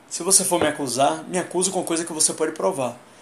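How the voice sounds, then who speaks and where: Over noticeable background noise, a man talks at a fairly quick pace in a high pitch with ordinary pitch variation. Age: 30s. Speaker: livestreamer. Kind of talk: casual livestream monologue.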